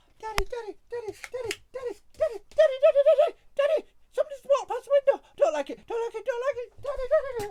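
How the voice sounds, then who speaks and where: A put-on character voice comes at an extremely high pitch. It races along at a very fast pace. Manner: fretful, repetitive, pleading.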